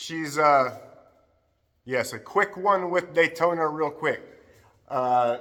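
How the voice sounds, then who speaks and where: Loud and shouting, a man speaks at a fairly slow pace in a fairly high pitch with a bright, sharp tone and ordinary pitch variation. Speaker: dog trainer. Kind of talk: dog training demonstration. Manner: loud, yelling. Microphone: no microphone, camera audio only.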